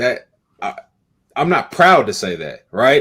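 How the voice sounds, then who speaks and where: A man with an American accent at a moderate pace. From Kansas City, Missouri. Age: young. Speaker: business owner. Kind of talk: panel discussion. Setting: live-streamed panel. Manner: emphatic.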